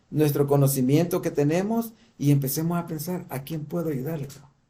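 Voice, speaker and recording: Over audible room echo, a man talks at a fairly slow pace, his fairly high voice carrying a dark, mellow tone. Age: 60s. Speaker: church teacher. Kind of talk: lecture. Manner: halting.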